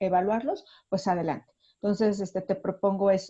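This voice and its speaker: A woman's medium-pitched voice with a dark, mellow tone, moderate pace and fairly even intonation, over a quiet background. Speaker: university teacher. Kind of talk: online class discussion. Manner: halting.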